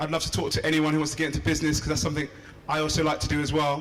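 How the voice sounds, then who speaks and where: Through audible room echo and noticeable background noise, a man speaks at a fairly high pitch. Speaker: PhD student and entrepreneur. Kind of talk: inspirational speech. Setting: stage with audience.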